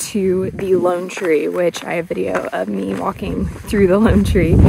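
A woman is heard over loud background noise. Her voice sounds dry, with no echo. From Arizona, US. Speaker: travel vlogger. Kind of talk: on-location vlog. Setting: outdoors. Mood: cheerful, relaxed. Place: open country. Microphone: phone near.

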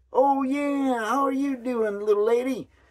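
Putting on a character voice, a man speaks at an extremely high pitch with fairly even intonation and a moderate pace.

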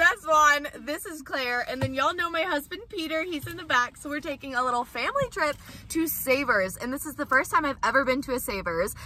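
A woman speaks in a raised, projected voice with lively intonation and big swings in loudness. She moves at a fairly quick pace with hardly any pauses, over light background noise. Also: dry sound with no echo. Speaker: thrift vlogger. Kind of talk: casual vlog chat. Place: car. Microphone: phone near.

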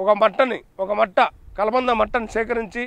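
A man speaks at an extremely high pitch with fairly even intonation. The sound is dry, with no echo. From Andhra Pradesh, Giddalur area (Prakasam district); Andhra Pradesh. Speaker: ayurvedic herbal healer. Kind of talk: health remedy tutorial. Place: garden. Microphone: lapel.

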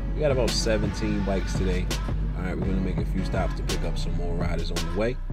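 A man at a very fast pace over loud music in the background. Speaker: motorcycle vlogger. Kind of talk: casual vlog chat. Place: motorbike. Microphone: phone near.

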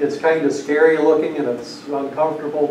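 With audible room echo around him, a man talks at a fairly quick pace with little pitch movement.

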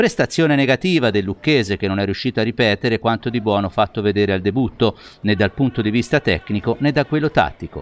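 A man talks at a very fast pace with lively intonation and very even loudness. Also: medium pitch for a man. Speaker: sports news anchor. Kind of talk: news reading. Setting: studio.

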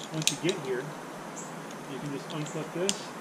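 A man talks with ordinary pitch variation against loud background noise. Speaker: tree climbing instructor. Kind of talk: tutorial. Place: garden. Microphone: camera far.

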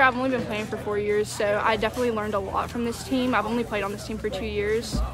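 Over clear background music, a woman talks at a fairly quick pace in a dry recording with no echo. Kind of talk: interview answer. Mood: happy, modest, relaxed. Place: stadium. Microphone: phone near.

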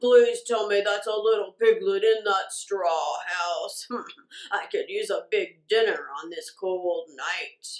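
A woman puts on a character voice, pitched fairly high and delivered at a fairly slow pace.

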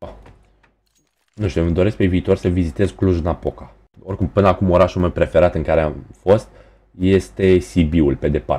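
A man's very deep, low voice, dark and mellow in tone, with vocal fry, ordinary pitch variation, a moderate pace and long, frequent pauses. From Romania, Tulcea. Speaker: gaming streamer. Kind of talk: live gaming stream chat. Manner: animated.

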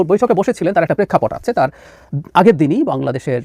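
A man with a dark, mellow tone and vocal fry speaks in a fairly high pitch with very wide pitch swings, with a dry, close sound and no echo. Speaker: political analyst. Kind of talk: political commentary.

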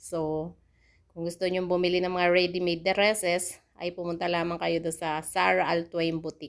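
On a very clean recording with a silent background, a woman speaks at a moderate pace in a fairly low voice with monotone, flat intonation. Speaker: overseas Filipino worker vlogger. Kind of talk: vlog narration. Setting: in a taxi.

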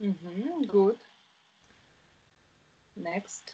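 A woman speaks with a Russian accent. Her intonation is lively. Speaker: English teacher. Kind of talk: online tutoring lesson. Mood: friendly, encouraging. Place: home room. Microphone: video call.

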